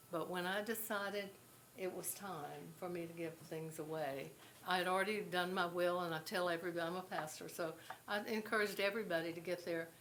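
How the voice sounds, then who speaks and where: Fairly low in pitch, a woman talks at a fairly quick pace with fairly even intonation. The clip carries noticeable background noise and audible room echo. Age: 80s+. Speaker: pastor. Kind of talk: speech at event. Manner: halting.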